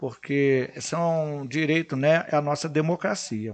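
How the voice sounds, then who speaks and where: In an unremarkable speaking voice, the speaker goes at a fairly slow pace with ordinary pitch variation. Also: man. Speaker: futsal coach and public servant. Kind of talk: casual chat.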